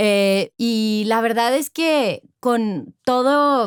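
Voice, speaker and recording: A high-pitched woman's voice, dry and close with no echo, on a very clean recording with a silent background. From Monterrey, northern Mexico. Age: 40s. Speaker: corporate executive. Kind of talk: interview conversation.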